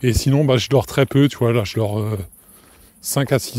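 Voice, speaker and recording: Speaking at a moderate pace, a man has a medium pitch and a dark, mellow tone. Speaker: podcast host. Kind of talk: casual solo podcast monologue. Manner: hesitant, many fillers and restarts.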